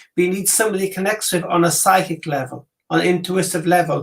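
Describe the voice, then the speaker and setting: A man with a Welsh accent, high in pitch, at a fairly quick pace. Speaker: psychic reader. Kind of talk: casual chat; psychic reading.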